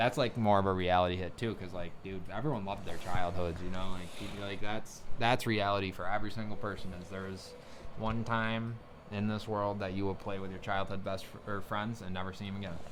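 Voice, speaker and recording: A man's fairly low voice at a fairly quick pace, with audible room echo. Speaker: podcast host. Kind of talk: casual chat. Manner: fast; animated.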